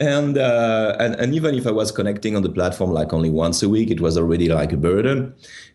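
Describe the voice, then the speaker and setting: A man talks very fast with a strong French accent, hardly pausing, his pitch fairly low and his tone dark and mellow. His intonation is lively while his loudness stays very even. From France. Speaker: tech startup founder. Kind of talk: interview. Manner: hesitant, many fillers and repeats.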